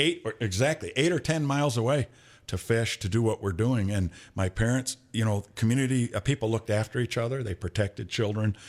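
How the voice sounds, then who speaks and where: Over a silent background on a very clean recording, a man with an American accent has an ordinary speaking voice at a medium pitch, with ordinary pitch variation and a fairly quick pace. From Michigan, Flint. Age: 60s. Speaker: podcast host, former undercover investigator. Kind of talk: casual chat.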